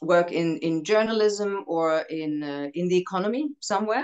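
The speaker talks at a fairly slow pace in a German accent, with a quiet background. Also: woman. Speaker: actress. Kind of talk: casual chat. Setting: video call. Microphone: video call.

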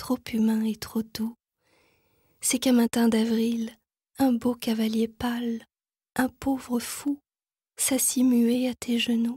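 Very slow and full of long, frequent pauses, a woman's fairly high voice has a dark, mellow tone and monotone, flat intonation, with a dry, close sound with no echo. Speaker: poetry reader. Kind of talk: poetry reading.

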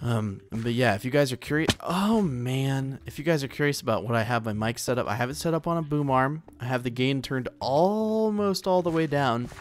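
An unremarkable speaking voice moves at a moderate pace with lively intonation and hardly any pauses. Light background noise is present. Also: man, medium pitch for a man. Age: 20s. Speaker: gaming YouTuber. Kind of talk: gameplay commentary. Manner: casual, rambling with fillers. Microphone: condenser mic on boom arm, very close; studio mic.

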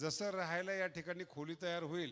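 The speaker is a man with a high-pitched voice. His intonation stays fairly even. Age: 60s. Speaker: religious leader, head of a monastery. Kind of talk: public speech at a temple ceremony. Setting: stage with audience.

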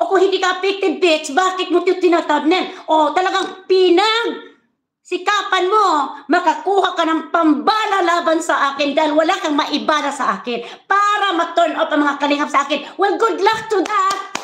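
A woman speaks at a moderate pace in an extremely high pitch. The background is quiet, though audible room echo is present. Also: ordinary pitch variation. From Philippines. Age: 60s. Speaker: vlogger. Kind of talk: live stream rant. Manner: animated. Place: home room. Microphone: phone near.

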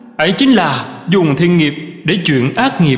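Noticeable background noise sits behind a man speaking at a very slow pace. His voice is high and swings very widely in pitch. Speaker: Buddhist monk reading teachings. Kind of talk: reading aloud.

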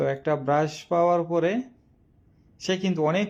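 A man speaks against a quiet background. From Bangladesh, Kishoreganj district. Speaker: social media quiz host. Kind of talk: casual live stream talk. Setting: live video stream. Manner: halting.

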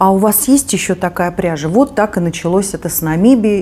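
With light background noise behind her, a woman speaks with lively intonation. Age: 50s. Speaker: knitting video blogger. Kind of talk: casual chat; tutorial. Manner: conversational with hesitations. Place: home room.

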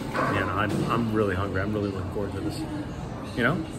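There is music in the background as a man speaks. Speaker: beer reviewer. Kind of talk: casual vlog chat. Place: bar. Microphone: phone near.

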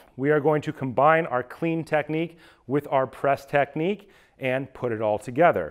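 The setting is quiet. A man goes at a moderate pace, and his pitch varies in an ordinary way. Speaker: fitness coach. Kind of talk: tutorial. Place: gym.

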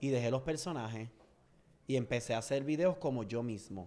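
Dark and mellow in tone, a man's voice moves at a fairly quick pace. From Puerto Rico, Orocovis; Puerto Rico. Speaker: social media comedian; podcast guest. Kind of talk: interview. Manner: loud. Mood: personal, reflective. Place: studio. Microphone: studio mic.

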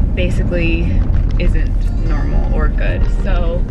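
The sound is dry, with no echo. Music plays in the background. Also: woman. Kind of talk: casual vlog chat. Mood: stressed, worried. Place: car. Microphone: phone near.

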